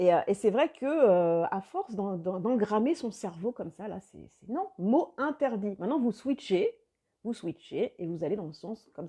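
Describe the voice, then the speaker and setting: A woman's voice has a dark, mellow tone and very wide pitch swings. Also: big swings in loudness. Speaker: life coach. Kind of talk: live video chat with viewers.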